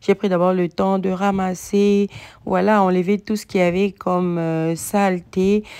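The tone is dark and mellow, as well as clear and smooth. It moves at a moderate pace with little pitch movement. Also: woman, medium pitch for a woman.

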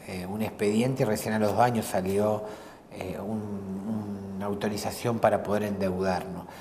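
A man's unremarkable speaking voice, fairly low in pitch, fairly slow and fairly even in intonation, over light background noise. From Argentina, Santa Fe province. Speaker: provincial legislator; interviewee. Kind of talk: casual interview over a meal. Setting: restaurant. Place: cafe.

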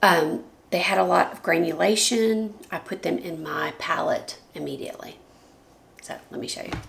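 A woman speaks with vocal fry. Her voice is raspy.

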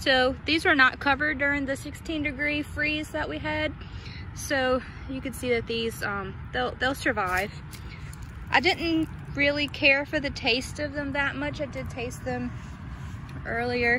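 A woman uses a raised, projected voice at a fairly slow pace with ordinary pitch variation and long, frequent pauses. The sound is dry with no echo, though background noise is noticeable. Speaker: home gardener vlogger. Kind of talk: casual vlog chat. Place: garden. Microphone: phone near.

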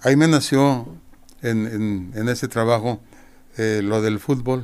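A man's very slow delivery with fairly even intonation. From Mexico, Guadalajara; Jalisco, Mexico. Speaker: retired football goalkeeper and coach; interviewee. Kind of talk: interview. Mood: warm, reminiscing.

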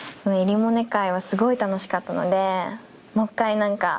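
The delivery is fairly quick, with monotone, flat intonation. Light background noise can be heard. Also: woman. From Nagoya, Japan. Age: 20s. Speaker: young actress in a superhero TV series. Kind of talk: interview about her role and cast. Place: studio.

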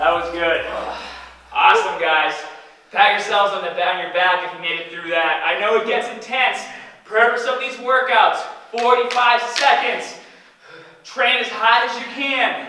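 Projecting a raised voice at a moderate pace, a man speaks with big swings in loudness and long, frequent pauses, amid audible room echo and light background noise. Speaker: fitness trainer. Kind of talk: workout coaching to viewers. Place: gym. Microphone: camera far.

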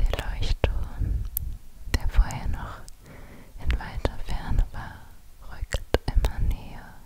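A woman at a very slow pace, in a dry sound with no echo, over loud background noise. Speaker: ASMR creator. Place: home room. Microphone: studio mic.

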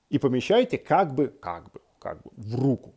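A man's dark, mellow voice with very wide pitch swings against a quiet background. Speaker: psychologist; guest. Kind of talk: self-help tutorial. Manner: calm, measured. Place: home room. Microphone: earbuds.

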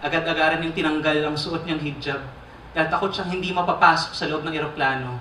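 Over light background noise and audible room echo, a man talks at a fairly quick pace. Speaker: spoken word poet. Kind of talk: spoken word poetry performance. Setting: live theater stage. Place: stage.

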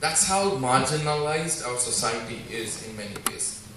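Amid noticeable background noise and audible room echo, a man talks with ordinary pitch variation. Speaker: speaker. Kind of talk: inspirational talk. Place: hall.

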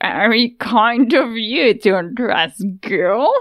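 A cackling, female-sounding put-on character voice, pitched fairly high for a woman, comes through. It moves at a very slow pace. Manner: cackling, mocking.

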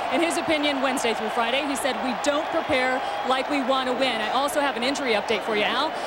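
The speech comes at a very fast pace with fairly even intonation, over noticeable background noise. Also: woman, high pitch for a woman. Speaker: sideline reporter.

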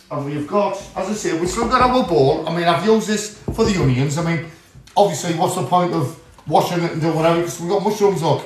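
A high-pitched man with ordinary pitch variation, light background noise and audible room echo. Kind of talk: casual cooking tutorial chat. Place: kitchen. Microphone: phone near.

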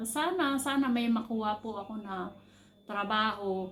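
A woman speaks at a fairly slow pace, with audible room echo. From Philippines. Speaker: overseas worker vlogger, caregiver. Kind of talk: personal vlog monologue.

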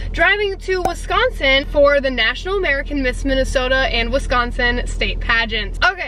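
A woman uses a raised, projected voice with very wide pitch swings and hardly any pauses, in a dry sound with no echo and light background noise. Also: moderate pace. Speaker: pageant contestant vlogger. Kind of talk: casual vlog chat. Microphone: phone near.

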